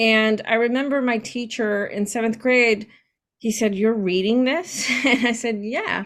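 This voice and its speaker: A woman speaks at a fairly slow pace. Her voice is fairly high, with fairly even intonation. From US-Mexico border, San Diego/Tijuana. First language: Spanish. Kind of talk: interview.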